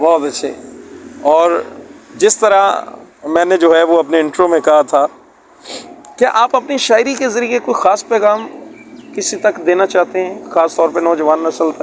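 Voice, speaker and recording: Noticeable background noise runs through the clip. A man with a high pitch speaks with lively intonation. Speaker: interviewer. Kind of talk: interview. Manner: animated.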